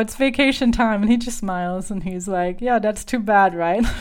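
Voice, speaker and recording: A woman with a German accent speaks at a moderate pace and fairly high pitch on a very clean recording with a silent background. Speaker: podcast host and voice coach. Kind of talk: solo podcast monologue. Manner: animated.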